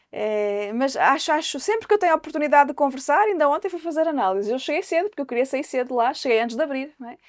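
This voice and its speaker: A woman speaks at a very fast pace in a high pitch with hardly any pauses. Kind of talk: panel discussion. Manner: hesitant, with frequent repetitions.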